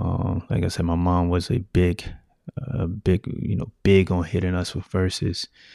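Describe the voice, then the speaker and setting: A man with an American accent speaks at a fairly slow pace in a very deep, low pitch. His tone is dark and mellow, with ordinary pitch variation and a dry, close sound with no echo. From US South. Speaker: podcast host. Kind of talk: solo podcast monologue. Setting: home studio with mic and video.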